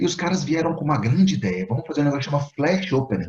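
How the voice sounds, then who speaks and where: With a Minas Gerais accent and lively intonation, a man speaks at a very fast pace. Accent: Minas Gerais Brazilian Portuguese. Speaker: engineering teacher and Lean Six Sigma trainer. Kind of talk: casual interview conversation.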